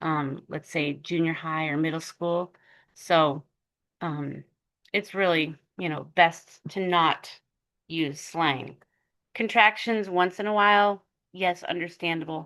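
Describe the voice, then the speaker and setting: A woman with a fairly low pitch and a bright, sharp tone speaks at a very slow pace, leaving long, frequent pauses. Her pitch varies in an ordinary way, and the background is quiet. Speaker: online college writing instructor. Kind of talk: lecture. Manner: halting, many fillers.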